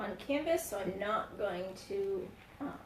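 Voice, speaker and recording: A woman's fairly high-pitched voice at a very slow pace, with noticeable background noise and audible room echo. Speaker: craft livestream host. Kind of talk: live craft tutorial. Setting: livestream. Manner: hesitant, many fillers.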